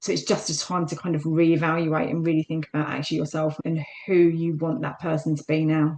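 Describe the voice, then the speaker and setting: A woman in a South London accent, very deep and low in pitch, monotone and flat, at a fairly quick pace with hardly any pauses. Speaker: fitness instructor. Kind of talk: interview.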